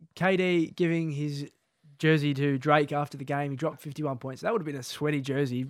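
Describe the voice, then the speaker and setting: Speaking at a fairly quick pace, a man uses a fairly high voice with an Australian accent. The recording is very clean, with a silent background. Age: 20s. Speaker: podcast host. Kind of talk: casual chat. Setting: studio.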